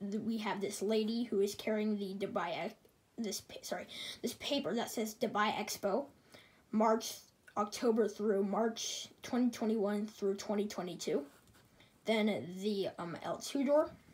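Woman with a somewhat breathy voice, fairly high pitch and a very slow pace. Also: ordinary pitch variation. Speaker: aviation hobbyist YouTuber. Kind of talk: tutorial. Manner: casual, enthusiastic.

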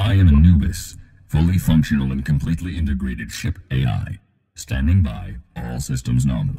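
At a moderate pace, a man uses a put-on character voice with a very deep, low pitch. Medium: voice pack for a game companion app. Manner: dry, dutiful, humorous.

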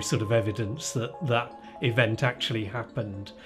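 Clear music plays in the background as the speaker talks at a moderate pace. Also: man. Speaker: interviewee. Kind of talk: interview answer. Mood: amused, relaxed storytelling. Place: home room.

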